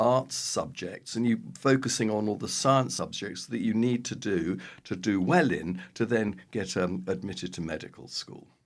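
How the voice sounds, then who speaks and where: A man with an English accent at a moderate pace, with lively intonation. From London, England. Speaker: public health professor. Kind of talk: interview.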